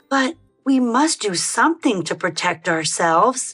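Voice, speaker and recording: A female-sounding voice puts on a raspy character voice at a fairly high pitch. She talks at a moderate pace over faint background music. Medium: read story.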